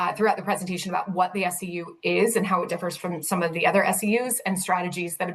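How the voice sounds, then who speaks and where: A woman's fairly low voice at a very fast pace, with noticeable background noise. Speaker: city sustainability director. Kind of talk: presentation. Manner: animated.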